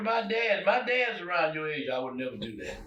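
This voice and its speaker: Noticeable background noise and audible room echo accompany a man whose pitch makes very wide swings. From US South (Arkansas). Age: 90s. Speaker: retired poet and musician. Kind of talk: interview.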